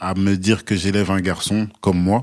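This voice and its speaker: On a very clean recording with a silent background, a man speaks at a moderate pace in an unremarkable speaking voice with fairly low pitch. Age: 30s. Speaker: new father. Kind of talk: casual chat.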